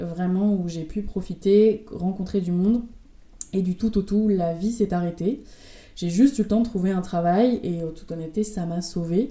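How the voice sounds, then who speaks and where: Dark and mellow in tone, the woman's voice stays in a medium register. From France, Rouen. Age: 20s. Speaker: pharmacist. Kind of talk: interview.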